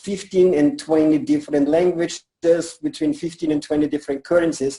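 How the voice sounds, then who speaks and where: A man talks at a fairly quick pace with lively intonation. His voice is high in pitch, with a dark, mellow tone. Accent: German. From Germany. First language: German. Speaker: network marketing leader. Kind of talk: interview.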